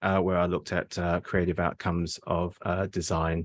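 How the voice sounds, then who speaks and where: This man has a slight English accent, and the sound is dry and close with no echo. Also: quiet background. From England, Surrey. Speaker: postdoctoral researcher. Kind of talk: academic seminar presentation. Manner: hesitant, many fillers.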